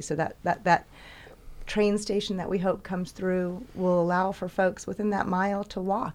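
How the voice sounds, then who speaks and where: On a very clean recording with a silent background, a woman talks in a plain, everyday voice at a medium pitch and a fairly quick pace. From US South. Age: 50s. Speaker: city council candidate. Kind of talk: interview. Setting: studio.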